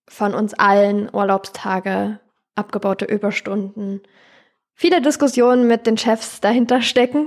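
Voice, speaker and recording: A woman's ordinary speaking voice at medium pitch, with ordinary pitch variation and a fairly slow pace, on a very clean recording against a silent background. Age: 20s. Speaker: charity co-founder and paramedic. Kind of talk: interview.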